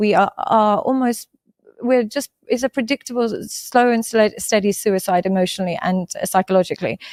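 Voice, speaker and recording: A woman talks at a fairly quick pace in a fairly high voice. The recording is very clean, with a silent background and a dry, close sound with no echo. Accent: English. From England. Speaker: psychologist. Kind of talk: podcast interview. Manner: animated.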